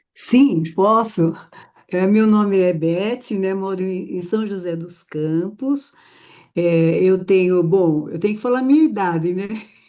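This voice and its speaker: A woman speaks very slowly in a mid-range voice. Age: 70s. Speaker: meeting participant, grandmother. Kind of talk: self-introduction. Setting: video call.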